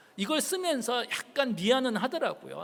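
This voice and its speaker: Very wide pitch swings from a man, at a moderate pace. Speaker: professor. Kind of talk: public lecture.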